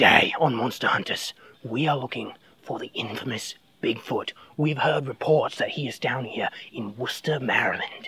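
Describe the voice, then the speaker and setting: Raspy and at a low-to-middle pitch, the speaker uses a put-on character voice. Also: moderate pace. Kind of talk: mock TV-host presentation. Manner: upbeat, punning, showman.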